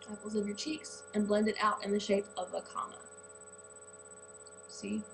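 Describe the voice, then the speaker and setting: Noticeable background noise runs through the clip. A woman with an American accent talks at a moderate pace. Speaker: beauty vlogger. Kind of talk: tutorial. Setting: home bathroom. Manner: hesitant, says um a lot; casual.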